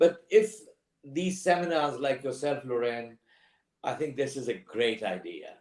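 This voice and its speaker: Using lively intonation, a man with a non-native accent and a fairly high pitch talks at a fairly slow pace. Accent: foreign. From outside the UK. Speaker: pub business operator, panelist. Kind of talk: panel discussion webinar. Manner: halting, many fillers.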